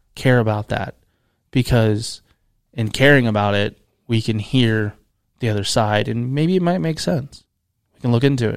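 On a very clean recording with a silent background, a man speaks in an American accent. He keeps a moderate pace and leaves long, frequent pauses. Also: medium pitch for a man, ordinary pitch variation. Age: 30s. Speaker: podcast host. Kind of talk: casual chat. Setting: studio.

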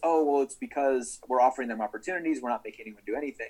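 Man with a fairly high pitch at a very fast pace. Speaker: guest co-host. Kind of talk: casual chat about TV shows.

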